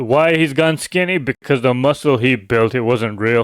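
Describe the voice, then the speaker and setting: A man at a medium pitch talks at a fairly slow pace with ordinary pitch variation, recorded very cleanly against a silent background with a dry, close sound and no echo. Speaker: commentary YouTuber. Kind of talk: casual commentary monologue. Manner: conversational, normal speaking voice.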